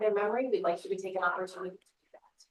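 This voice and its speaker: A woman speaks at a fairly high pitch. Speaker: death doula, business owner. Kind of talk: presentation to a live audience; guided meditation. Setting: office space before an audience. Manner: soft-spoken.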